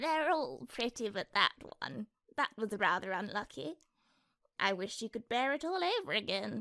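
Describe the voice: A female-sounding, put-on character voice at fairly high pitch moves at a moderate pace with very wide pitch swings.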